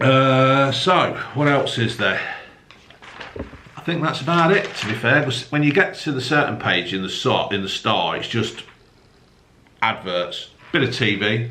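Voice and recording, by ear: Strong room echo surrounds a man speaking at a fairly slow pace, his tone bright and sharp, his pitch medium and his intonation lively.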